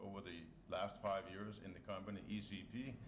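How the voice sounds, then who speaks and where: A man with a Danish accent speaks in a monotone, flat voice, with noticeable background noise and audible room echo. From Denmark, Copenhagen. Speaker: company board member, scientist. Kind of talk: press conference speech.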